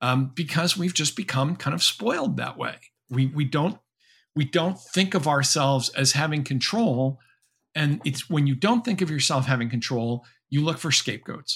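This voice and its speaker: In a very clean recording with a silent background, a man with a plain, everyday voice, fairly high pitch and an American accent speaks at a moderate pace with lively intonation. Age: 60s. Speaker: professor and author. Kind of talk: interview.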